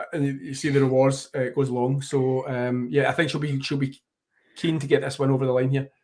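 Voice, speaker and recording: A man at a fairly high pitch with a Glaswegian accent. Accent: Glaswegian Scottish. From Scotland, Glasgow. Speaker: tennis journalist. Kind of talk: live commentary. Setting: live stream watchalong. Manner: fast.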